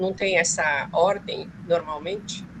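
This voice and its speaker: A woman talks very slowly. Behind her, background noise is noticeable. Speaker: graduate student. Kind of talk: audience question. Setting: video call.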